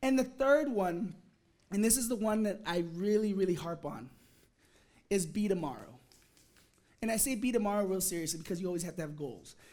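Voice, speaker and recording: A man speaks fairly quickly with a high pitch and lively intonation, leaving long, frequent pauses. Audible room echo surrounds the voice. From Alabama. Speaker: engineer. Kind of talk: motivational talk.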